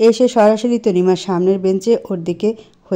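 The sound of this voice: Reading in an unforced voice.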